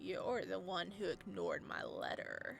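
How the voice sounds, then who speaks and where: A croaky, put-on character voice moves at a moderate pace. Background noise is clearly present. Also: man. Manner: sharp, angry.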